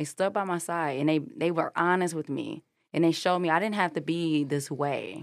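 A woman speaks in an unremarkable speaking voice, fairly low in pitch, with fairly even intonation at a moderate pace. The recording is very clean, with a silent background. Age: young. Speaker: head of support at a mental health gym. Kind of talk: casual chat.

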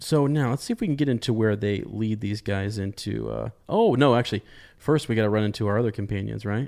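The clip is plain reading aloud with ordinary pitch variation.

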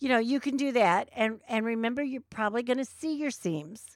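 A high-pitched woman's voice in a very clean recording with a silent background. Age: 60s. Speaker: sewing teacher and podcast co-host. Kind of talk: casual chat. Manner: halting.

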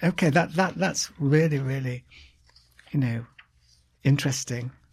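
A man speaks at a fairly slow pace, leaving long, frequent pauses. His voice is somewhat breathy and fairly high. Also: fairly even intonation. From Britain. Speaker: podcast host. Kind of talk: interview. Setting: studio.

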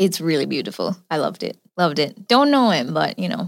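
Vocal fry runs through this woman's fairly low-pitched voice. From Jamaica. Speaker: psychic and filmmaker. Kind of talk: casual chat. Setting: studio, in person.

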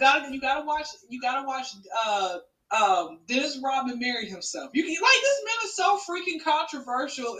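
A woman's raised, projected voice with a high pitch and a bright, sharp tone, at a fairly quick pace, with very wide pitch swings and big swings in loudness. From Atlanta, Georgia. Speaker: comedian. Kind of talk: casual chat.

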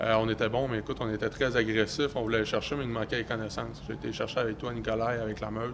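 Over noticeable background noise, a man with a Quebec accent talks at a very fast pace in a monotone, flat delivery. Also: medium pitch for a man, hardly any pauses. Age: 20s. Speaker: young entrepreneur and real estate investor. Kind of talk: casual interview.

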